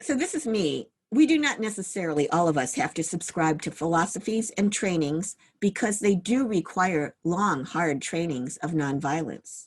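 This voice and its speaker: Lively intonation from a woman with a fairly low pitch, a normal speaking voice and a moderate pace. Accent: American. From US Midwest, Cleveland, Ohio. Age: 60s. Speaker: meditation teacher. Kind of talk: dharma talk. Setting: video call.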